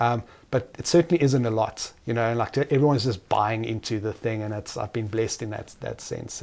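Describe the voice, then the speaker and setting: Talking at a fairly quick pace, a man uses a South African accent. His tone is dark and mellow, with ordinary pitch variation. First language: Afrikaans. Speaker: entrepreneur. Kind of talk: interview.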